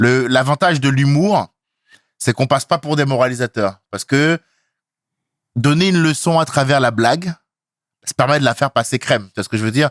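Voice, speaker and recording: In a very clean recording with a silent background, a man talks at a medium pitch in an ordinary speaking voice, the sound dry and close with no echo. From Benin. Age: 30s. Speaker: stand-up comedian. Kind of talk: casual interview.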